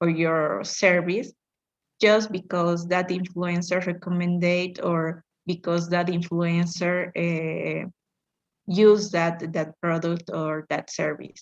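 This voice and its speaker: A woman's fairly low, monotone, flat voice at a very slow pace. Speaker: English student. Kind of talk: class presentation. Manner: halting, many fillers.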